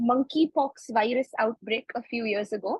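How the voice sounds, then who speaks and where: Spoken at a fairly slow pace with a Kannada accent. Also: woman. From India (Bangalore, Karnataka). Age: 20s. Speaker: medical student. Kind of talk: interview. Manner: halting, many fillers.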